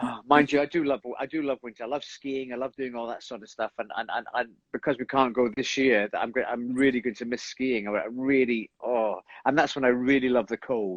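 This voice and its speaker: With a Scottish accent, a man talks at a fairly quick pace in a medium pitch. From Scotland. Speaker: stage actor. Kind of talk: casual chat. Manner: animated.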